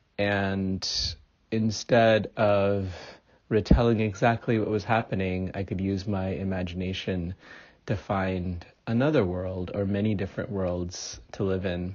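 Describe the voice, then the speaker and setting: An ordinary speaking voice: a man with fairly low pitch, a fairly slow pace and fairly even intonation. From India, moved to US at nine. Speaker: author. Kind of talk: interview.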